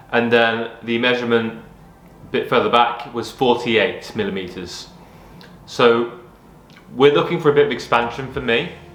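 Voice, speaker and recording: Long, frequent pauses break up speech at a moderate pace, with ordinary pitch variation and audible room echo. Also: man, medium pitch for a man. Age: 30s. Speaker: vlogger documenting health journey. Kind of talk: personal vlog. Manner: hesitant, many fillers and repetitions.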